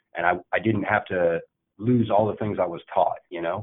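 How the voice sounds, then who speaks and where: In an American accent, a man speaks at a moderate pace with a fairly low pitch. His intonation is lively. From Indiana, US Midwest. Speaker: army veteran, operations manager. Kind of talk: interview. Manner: halting, many fillers.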